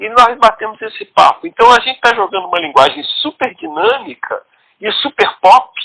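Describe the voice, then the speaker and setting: A man's raised, projected voice at extremely high pitch, bright and sharp, with very wide pitch swings, big swings in loudness, a moderate pace and a dry, close sound with no echo. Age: 60s. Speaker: writer and comics scriptwriter. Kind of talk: interview.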